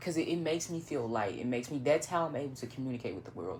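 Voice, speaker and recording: The speaker has a northern Louisiana accent and talks at a very fast pace. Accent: northern Louisiana Southern. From northern Louisiana (Monroe). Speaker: vlogger, writer and photographer. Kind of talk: casual monologue vlog. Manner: halting, many fillers.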